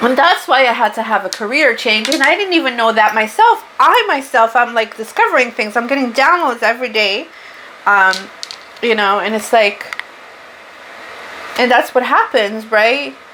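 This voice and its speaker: A woman with a high pitch talks at a moderate pace with ordinary pitch variation, very even loudness and long, frequent pauses over noticeable background noise. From Portugal. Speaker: spiritual tarot reader. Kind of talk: tarot reading monologue. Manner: casual, unscripted.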